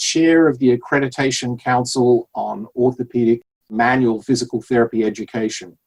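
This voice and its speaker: A man with an American accent talks at a fairly quick pace. His medium-pitched voice sounds dry and close, with no echo. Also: hardly any pauses. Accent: Australian-tinged American. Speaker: physical therapist. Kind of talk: podcast interview.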